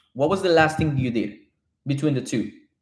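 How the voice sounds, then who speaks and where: A man talks in a fairly high pitch with a Spanish accent. Audible room echo surrounds his voice. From Colombia. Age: 30s. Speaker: real estate developer. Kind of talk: live stream chat. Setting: live stream from home. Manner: animated.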